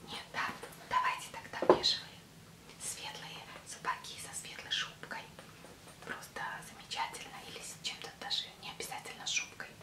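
A soft-spoken woman whispers at a moderate pace with long, frequent pauses over loud background noise. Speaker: fashion vlogger. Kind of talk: product show vlog chat. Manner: soft ASMR whisper, shop-seller roleplay. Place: home room. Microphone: webcam.

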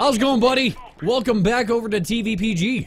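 A man's extremely high voice with a slightly husky edge, ordinary pitch variation and a fairly quick pace

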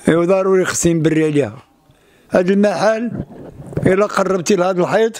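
Here a man with a high pitch speaks at a moderate pace, his loudness very even. Long, frequent pauses break up the dry sound with no echo. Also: ordinary pitch variation. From Morocco. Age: 70s. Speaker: street performer; interviewee. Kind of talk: testimony. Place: home room. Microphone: handheld.

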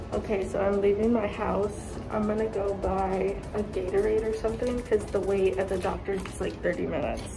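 With clear music in the background, a woman speaks at a fairly quick pace with hardly any pauses. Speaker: vlogger, actress. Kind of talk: casual vlog chat.

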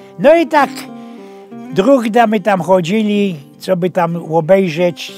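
Over faint music in the background, a man with a Silesian accent and a high pitch speaks at a very slow pace with lively intonation and big swings in loudness, in a dry sound with no echo. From Silesia, Poland. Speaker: storyteller. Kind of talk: humorous anecdote told in dialect. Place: studio. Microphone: lapel.

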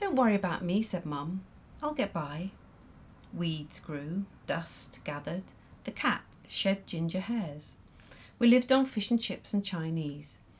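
A woman speaks at a medium pitch and a fairly slow pace, sounding somewhat breathy. Her intonation is lively, broken by long, frequent pauses. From Ireland. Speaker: poet. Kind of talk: poetry performance. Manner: measured, expressive reading with dry, wry storytelling.

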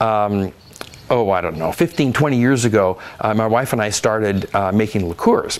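A man's fairly low voice with ordinary pitch variation, moving at a moderate pace. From Oregon, US Pacific Northwest. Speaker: winemaker and winery owner. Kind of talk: oral history interview. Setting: at a winery with gardens. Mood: relaxed, reflective. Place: garden. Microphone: lapel.

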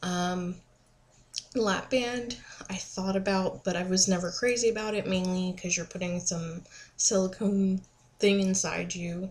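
A somewhat breathy woman speaks at a fairly slow pace with fairly even intonation and long, frequent pauses. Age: 20s. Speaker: vlogger. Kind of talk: casual vlog monologue. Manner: hesitant with many fillers. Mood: relaxed, informative. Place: home room. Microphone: webcam.

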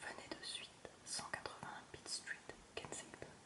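Noticeable background noise fills the clip. Under it a woman is whispering at a very slow pace. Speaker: ASMR reader. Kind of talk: whispered audiobook-style story reading. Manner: whispered, soft, slow.

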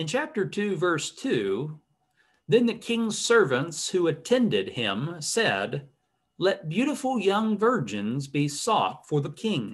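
A man talks at a very slow pace, his pitch swinging very widely. The background is quiet. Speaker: bible study teacher. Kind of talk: lecture. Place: home room. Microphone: webcam.

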